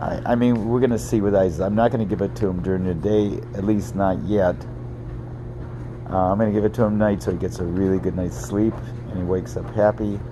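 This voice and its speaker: Against noticeable background noise and audible room echo, a man with a fairly low pitch talks at a fairly quick pace with lively intonation. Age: 70s. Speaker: parent vlogger reviewing a cannabis product. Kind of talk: casual video review monologue. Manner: hesitant, many fillers.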